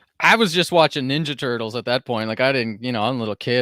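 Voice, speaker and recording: The man speaks at a very fast pace. His pitch is medium. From Canada, Cape Breton, Nova Scotia. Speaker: crypto investor and podcaster. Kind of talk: casual chat. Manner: halting, many repetitions.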